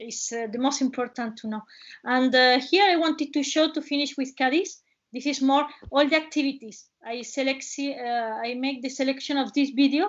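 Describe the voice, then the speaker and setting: A woman speaks at a moderate pace with a high pitch. Her pitch variation is ordinary. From Spain, Cádiz province (Tarifa, Algeciras). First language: Spanish. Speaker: travel presenter. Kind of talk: webinar presentation. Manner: halting.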